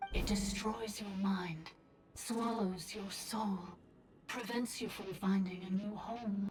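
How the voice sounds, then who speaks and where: Against clear background noise, a put-on character voice speaks at a fairly slow pace. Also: female-sounding voice, medium pitch for a woman. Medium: video game. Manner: solemn, measured.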